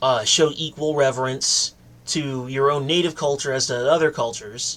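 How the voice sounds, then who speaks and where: A man speaks with a fairly high pitch. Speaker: political commentary vlogger. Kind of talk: monologue commentary. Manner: rambling, pontificating.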